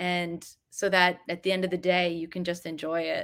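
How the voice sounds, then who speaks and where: A woman's normal speaking voice, fairly low in pitch, with an American accent and moderate pace, on a very clean recording with a silent background. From New Jersey. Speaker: journalist and editor. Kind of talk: interview.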